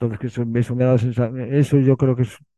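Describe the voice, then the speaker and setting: The dry, close sound with no echo carries a man's medium-pitched voice with a dark, mellow tone. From Bilbao, Basque Country, Spain. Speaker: writer and filmmaker. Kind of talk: interview. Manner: halting, many repetitions.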